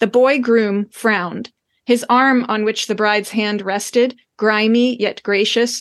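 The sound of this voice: An unforced reading voice comes through with fairly even intonation over a quiet background.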